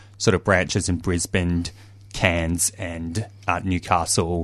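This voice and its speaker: A man with an Australian accent at a very slow pace, over a quiet background. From Australia, Victoria. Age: 30s. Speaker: socialist activist. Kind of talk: interview. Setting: studio. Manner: halting, many fillers.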